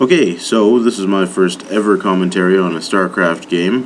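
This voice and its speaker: A fairly slow delivery, pitch varying in an ordinary way, with noticeable background noise behind it. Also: man. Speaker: amateur game commentator. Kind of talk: live game commentary. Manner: casual, hesitant with fillers.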